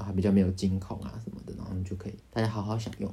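Audible room echo surrounds this man's voice. He talks at a fairly low pitch in a Taiwanese accent. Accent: Taiwanese Mandarin. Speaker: podcast co-host. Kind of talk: casual chat.

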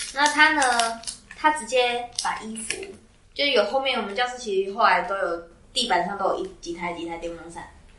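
Over noticeable background noise and audible room echo, a woman talks at a fairly quick pace with lively intonation. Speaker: podcast co-host, student. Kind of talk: casual chat. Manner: animated, laughing often.

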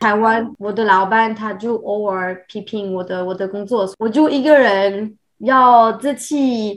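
In a French accent, a woman speaks very slowly at a fairly high pitch. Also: ordinary pitch variation, hardly any pauses. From France. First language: French (speaking Chinese). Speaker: expat professional. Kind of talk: casual interview. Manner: halting, many fillers.

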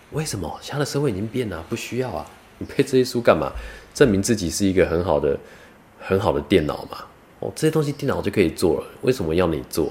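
A man with a Taiwanese accent speaks very fast at a medium pitch, his pitch swinging very widely. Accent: Taiwanese Mandarin. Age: 30s. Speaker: vlogger and part-time cook. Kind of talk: casual monologue vlog.

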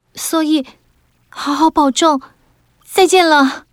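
Speaking very slowly with fairly even intonation, a woman is heard in a dry, close sound with no echo. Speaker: audiobook narrator. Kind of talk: literary audiobook narration for children. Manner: measured, clear storyteller pacing; dramatic and suspenseful in tense scenes.

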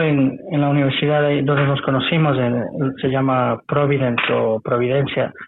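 A man's plain, everyday voice, fairly high in pitch, fairly slow, with very even loudness and hardly any pauses. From Ecuador (Quito, Ambato). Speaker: Spanish teacher and chef. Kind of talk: casual interview chat.

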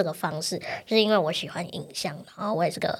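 A woman talks at a very fast pace in a medium pitch. Her pitch varies in an ordinary way. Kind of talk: interview conversation. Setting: studio.

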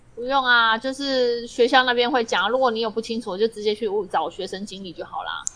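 A fairly high-pitched woman at a fairly quick pace, with ordinary pitch variation, big swings in loudness and noticeable background noise. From Taiwan. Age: middle-aged. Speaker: podcast co-host. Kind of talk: casual chat.

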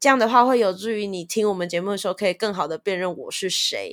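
A woman speaks at a medium pitch with an animated tone and ordinary pitch variation. The recording is very clean, with a silent background. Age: 20s. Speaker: podcast host. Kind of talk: self-introduction. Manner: animated, laughing often.

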